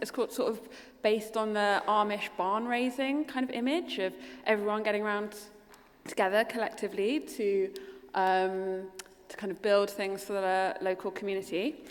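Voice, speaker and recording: Fairly high-pitched, a woman with a London accent speaks at a moderate pace with ordinary pitch variation. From London, England. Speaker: architect. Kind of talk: keynote presentation.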